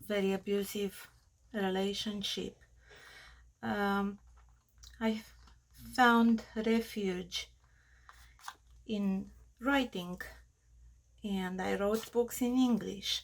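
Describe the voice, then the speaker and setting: A woman with a strong Romanian accent speaks very slowly, with long, frequent pauses and fairly even intonation. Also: medium pitch for a woman. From Australia, Romanian family. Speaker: crafter. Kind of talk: tutorial. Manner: halting.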